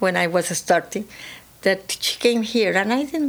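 A woman of medium pitch with a Spanish accent and lively intonation. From Peru. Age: 80s+. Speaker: real estate firm founder. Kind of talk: interview. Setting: studio.

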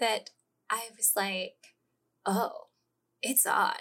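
A woman is speaking. Her pace is very slow. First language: not English. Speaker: literary magazine editor. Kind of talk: casual chat.

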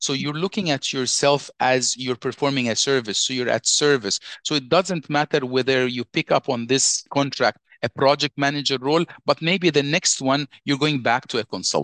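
An ordinary speaking voice at a moderate pace with hardly any pauses, ordinary pitch variation and a quiet background. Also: man, fairly high pitch for a man. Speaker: IT consultant and career coach. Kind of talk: interview, conversational.

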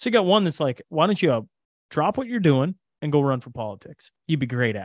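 A man with a fairly high pitch talks at a fairly quick pace, his pitch swinging very widely and his loudness rising and falling a lot, in a dry, close recording with no echo. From Canada. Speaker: podcaster. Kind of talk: casual chat.

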